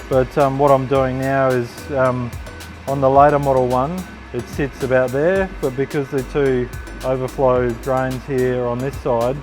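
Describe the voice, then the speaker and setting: The speaker's intonation is monotone and flat, with music in the background. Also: man. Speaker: motorcycle builder. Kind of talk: casual workshop talk to camera.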